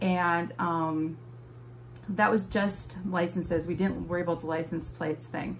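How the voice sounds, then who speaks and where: A woman speaks at a moderate pace with a slight Wisconsin accent. The room echo is audible. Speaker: vlogger. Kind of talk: casual vlog tutorial. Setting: home office. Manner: hesitant, many fillers.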